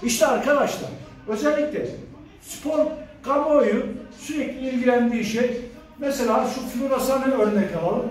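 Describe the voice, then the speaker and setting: A man's extremely high voice at a fairly slow pace, fairly even in intonation, with long, frequent pauses, audible room echo and light background noise. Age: 40s. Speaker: fitness coach. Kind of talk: tutorial. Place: gym. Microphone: phone near.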